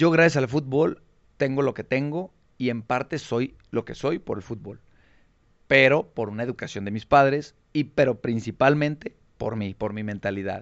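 A man with a normal speaking voice, a medium pitch, ordinary pitch variation and a moderate pace. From Mexico, Tonalá, Jalisco. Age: young. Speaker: former professional footballer. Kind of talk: interview.

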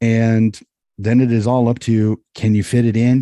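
Recorded dry and close with no echo, a man with an American accent speaks at a medium pitch in a dark, mellow tone and flat monotone. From US. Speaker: amateur sports coach. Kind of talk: casual chat.

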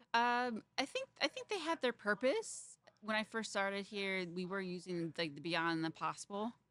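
Dry and close with no echo, a woman's unremarkable speaking voice moves at a moderate pace and medium pitch with lively intonation. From Fort Wayne, Indiana. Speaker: chef. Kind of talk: interview. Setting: restaurant.

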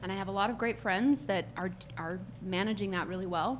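With an American accent and vocal fry, a woman talks fairly quickly at medium pitch. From US. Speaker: HR executive. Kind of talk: casual chat.

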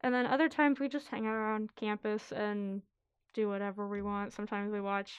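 A woman with a normal speaking voice talks at a fairly quick pace, her fairly high pitch showing ordinary variation. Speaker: college student and writer. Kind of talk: reading aloud.

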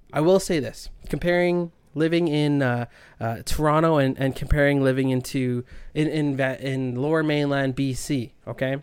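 Moderate pace and fairly even intonation from a man with a Canadian Prairie accent, in a very clean recording with a silent background. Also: fairly high pitch for a man. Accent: Canadian English (Prairies). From Canada (Winnipeg, Manitoba). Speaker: sports podcast host. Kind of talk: casual solo sports talk.

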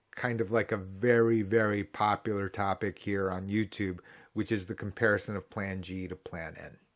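Speaking at a moderate pace with a Midwestern US accent, a man uses a fairly low pitch and a monotone, flat intonation, with big swings in loudness. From US Midwest. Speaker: Medicare insurance agent and video creator. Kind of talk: tutorial. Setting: online video, screen share.

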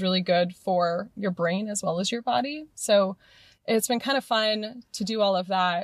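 This woman has an ordinary speaking voice at a medium pitch, with lively intonation. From US West Coast, Morgan Hill, California. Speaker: gym member, sustainability consultant and pole dance instructor. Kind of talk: casual interview.

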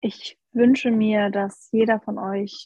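Her voice is medium-pitched, somewhat breathy, and dark and mellow in tone. She speaks at a very slow pace in a monotone, flat intonation, with a dry, close sound and no echo. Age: 20s. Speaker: health coach. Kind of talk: casual chat.

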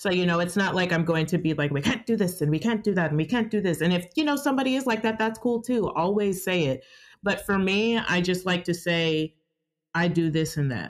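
With an American accent, a woman talks at a fairly quick pace in an unremarkable speaking voice of medium pitch, her intonation lively and her loudness very even, in a very clean recording with a silent background. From Georgia, US South. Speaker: sex worker. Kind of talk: casual interview conversation.

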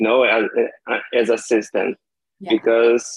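A man speaks with a Brazilian accent. His pitch is medium. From Brazil, Maranhão (São Luís). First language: Portuguese. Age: 30s. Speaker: language learner. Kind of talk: casual chat.

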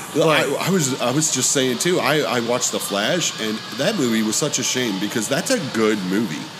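Backed by music in the background, a man with an American accent speaks at a medium pitch and moderate pace, his intonation lively and his loudness very even. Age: 30s. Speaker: podcast host and guitarist. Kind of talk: casual chat. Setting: hot dog shop.

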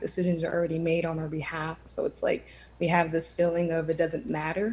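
Against noticeable background noise, a woman with an American accent speaks at a fairly low pitch. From Erie, Pennsylvania, Lower East Side. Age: 20s. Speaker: community organizer and city council candidate. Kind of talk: candidate forum answers.

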